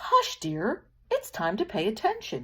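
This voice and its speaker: A woman's squeaky, put-on character voice at extremely high pitch and a fairly slow pace. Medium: read story. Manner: gentle, patient.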